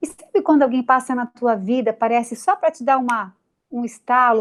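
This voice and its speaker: With a Santa Catarina accent, a woman speaks at a moderate pace in a high pitch. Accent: Santa Catarina (Florianópolis). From Brazil, Florianópolis, Santa Catarina. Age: 40s. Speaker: TV news presenter. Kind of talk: interview.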